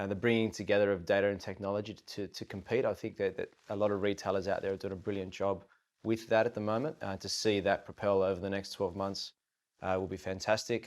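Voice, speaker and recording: A man with an Australian accent talks at a very fast pace in a monotone, flat delivery, on a very clean recording with a silent background. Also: fairly low pitch for a man. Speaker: tech company managing director. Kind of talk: roundtable discussion.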